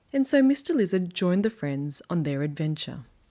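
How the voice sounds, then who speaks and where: This woman speaks in an Australian accent with lively intonation at a fairly slow pace. The recording is very clean, with a silent background. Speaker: children's book reader. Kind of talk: reading aloud.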